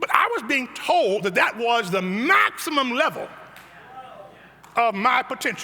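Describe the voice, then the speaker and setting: Amid noticeable background noise, a man uses a raised, projected voice at an extremely high pitch, with lively intonation and long, frequent pauses. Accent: American. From US Midwest, south side of Chicago. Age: 70s. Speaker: pastor. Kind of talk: sermon.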